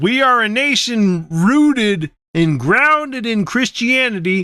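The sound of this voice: A man puts on a character voice, pitched high. He goes at a fairly slow pace with lively intonation.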